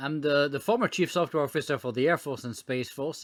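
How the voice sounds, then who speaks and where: A man at a very fast pace with a French accent, fairly high pitch and ordinary pitch variation, in a very clean recording with a silent background. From France. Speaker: former government technology officer. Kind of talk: podcast interview. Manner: frequent hesitations and fillers.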